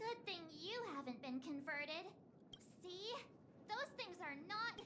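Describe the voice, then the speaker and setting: An energetic, put-on character voice holds a very even loudness against clear background noise. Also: woman, extremely high pitch for a woman, fairly slow pace. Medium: video game. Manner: stammering, energetic.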